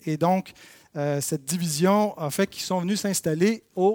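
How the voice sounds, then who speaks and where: A man speaks with fairly even intonation. The sound is dry and close, without echo. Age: 30s. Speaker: church history teacher. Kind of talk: lecture. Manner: halting.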